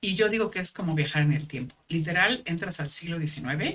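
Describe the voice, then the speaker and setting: The speaker has a normal speaking voice and moves at a moderate pace. The intonation is lively. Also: woman. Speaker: former actress and paramedic. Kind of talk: podcast interview.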